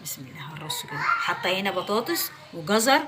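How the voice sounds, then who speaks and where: A woman with an Egyptian accent speaks at a moderate pace and a fairly high pitch, her voice making very wide pitch swings. Noticeable background noise and audible room echo fill the recording. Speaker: home cooking vlogger. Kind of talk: cooking tutorial. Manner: loud.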